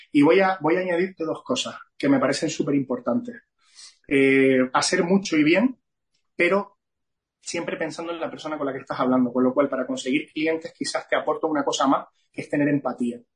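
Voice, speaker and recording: Here a man speaks in a plain, everyday voice. His pitch is fairly high and his intonation lively. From Canary Islands (Gran Canaria). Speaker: entrepreneur and business association president. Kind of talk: interview.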